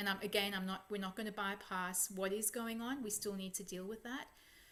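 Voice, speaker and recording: Fairly even intonation runs through the speech. It is a plain, everyday voice. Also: woman. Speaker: psychologist working in a holistic, energetic space. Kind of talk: guided meditation and spiritual talk to an online audience. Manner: calm, reflective.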